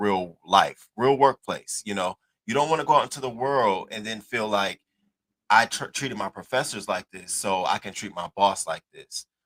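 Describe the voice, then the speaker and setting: A man speaks in a plain, everyday voice, fairly low-pitched, with ordinary pitch variation and a dry, close sound with no echo. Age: 30s. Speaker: news commentary host. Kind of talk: news commentary.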